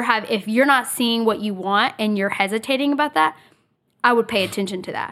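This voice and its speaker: A bright, sharp tone at a fairly quick pace, with ordinary pitch variation. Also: woman. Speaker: podcast host. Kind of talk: casual chat.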